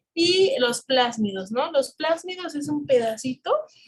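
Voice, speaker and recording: A woman speaks very slowly in a high pitch. Her intonation is lively. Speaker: biology teacher for exam prep course. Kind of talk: online class lecture.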